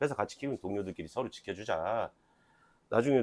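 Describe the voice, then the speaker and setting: Very fast speech in a strong Jeolla accent, with ordinary pitch variation and a dry, close sound with no echo. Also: man. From Jeolla, Korea (Jeonju). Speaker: union talk show host. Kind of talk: casual interview.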